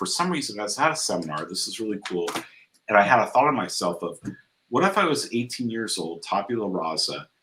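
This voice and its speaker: A man talks at a fairly quick pace with a Californian accent. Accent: General American (Californian). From US West Coast (San Diego, Southern California). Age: 60s. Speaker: entrepreneur, founder of a life-coaching network. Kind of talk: interview conversation. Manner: repeats words, some false starts.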